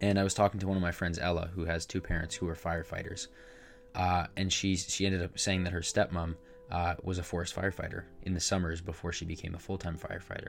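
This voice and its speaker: Speaking at a very fast pace, a man delivers his words in a very deep, low pitch with monotone, flat intonation. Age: 20s. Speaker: podcast host. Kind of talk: solo podcast monologue. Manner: casual, frequent fillers and hesitations.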